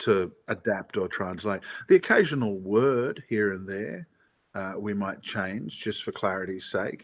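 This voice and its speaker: Speaking in an Australian accent, a man has a fairly low pitch with ordinary variation and a fairly slow pace. The recording is very clean, with a silent background. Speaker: theatre actor. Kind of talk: interview.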